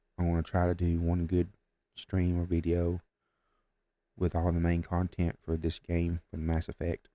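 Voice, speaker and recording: Recorded dry and close with no echo, a man speaks in a very deep, low, dark and mellow voice with monotone, flat intonation, a moderate pace and long, frequent pauses. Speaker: gaming streamer. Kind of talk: casual gaming commentary. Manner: quiet, trying not to wake others.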